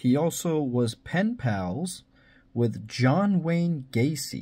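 The man's intonation rises and falls in a lively way. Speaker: video host. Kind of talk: commentary.

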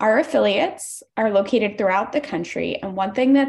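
This woman's fairly high, somewhat breathy voice moves at a fairly quick pace with lively intonation. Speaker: environmental justice organizer; public commenter for advocacy group. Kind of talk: public hearing testimony. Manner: fast. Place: home room. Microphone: video call.

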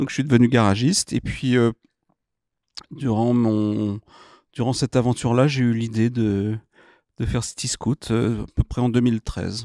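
A man with a dark, mellow tone speaks at a moderate pace, with fairly even intonation and long, frequent pauses. The background is quiet and the sound is dry with no echo. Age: 50s. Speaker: entrepreneur; guest. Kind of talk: interview. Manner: hesitant, many fillers. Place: studio. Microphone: studio mic.

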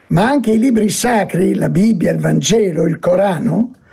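A man speaks at a high pitch with a dark, mellow tone. His pace is fairly slow over a quiet background. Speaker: speaker. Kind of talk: lecture. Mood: calm, expressive storytelling tone. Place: home room. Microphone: webcam.

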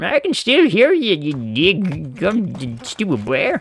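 In a put-on character voice at a middle pitch, the speaker talks at a very slow pace. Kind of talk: gaming commentary. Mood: mock annoyance at game.

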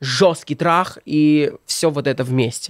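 Against a quiet background, the voice shows ordinary pitch variation in a dry sound with no echo. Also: man. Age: 20s. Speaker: blogger and comedic video maker; blogger. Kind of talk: casual chat. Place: studio. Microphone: studio mic.

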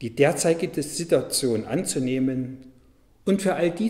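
Over a quiet background, a man with a fairly high pitch and a dark, mellow, somewhat breathy tone speaks at a very slow pace with lively intonation. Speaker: Lutheran pastor. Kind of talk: church devotional / sermon reading. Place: church.

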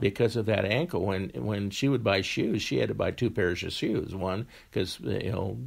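Lively in intonation, a man with a fairly low pitch and vocal fry speaks at a moderate pace. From Wyoming. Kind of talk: interview answer.

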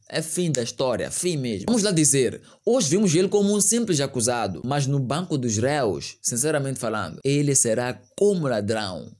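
A man speaks with hardly any pauses and very wide pitch swings. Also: fairly high pitch for a man, moderate pace, quiet background. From Mozambique. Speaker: news commentary youtuber. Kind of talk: online news commentary. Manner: animated. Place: home room. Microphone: studio mic.

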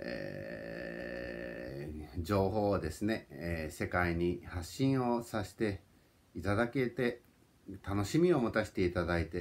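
Very slowly, a man speaks in a very deep, low pitch that swings very widely up and down. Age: 40s. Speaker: YouTuber. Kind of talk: personal vlog monologue. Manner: polite, repetitive with fillers. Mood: warm, reflective, smiling. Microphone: phone near.

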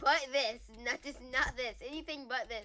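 A woman's raised, projected voice. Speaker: gaming YouTuber. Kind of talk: casual gaming banter. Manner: animated, laughs often.

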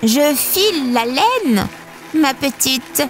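Over clear background noise, a put-on character voice that sounds female speaks very slowly at a high pitch for a woman. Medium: read story.

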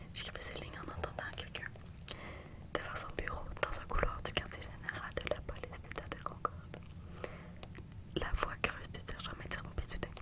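A soft-spoken woman whispers at a moderate pace with long, frequent pauses. Loud background noise runs underneath. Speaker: reader of a novel. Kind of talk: audiobook-style reading aloud. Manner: soft close-mic whispered reading. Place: home room. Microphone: studio mic.

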